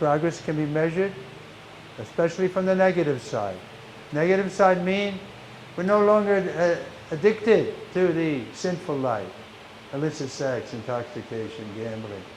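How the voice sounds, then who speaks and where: A man with a high voice and lively intonation speaks with long, frequent pauses, over noticeable background noise and audible room echo. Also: moderate pace. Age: 80s+. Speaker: monk lecturer. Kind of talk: religious lecture.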